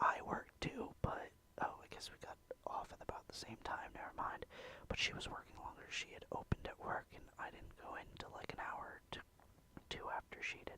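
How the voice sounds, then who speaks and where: A man whispers at a moderate pace. His loudness swings a lot. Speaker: ASMR creator. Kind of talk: ASMR casual talk. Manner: whispered.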